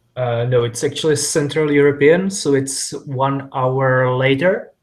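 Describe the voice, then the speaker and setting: A man with a non-native accent speaks at a fairly slow pace and fairly high pitch with fairly even intonation. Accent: foreign. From Czech Republic. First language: Czech. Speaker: IT developer. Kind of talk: casual chat. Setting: video call.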